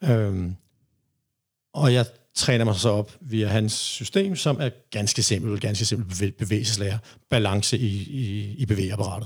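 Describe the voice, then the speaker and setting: A somewhat breathy man's voice, fairly low and fairly slow, with long, frequent pauses in a very clean recording with a silent background. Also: ordinary pitch variation. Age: 50s. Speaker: reggae DJ and rapper. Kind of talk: interview. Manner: halting.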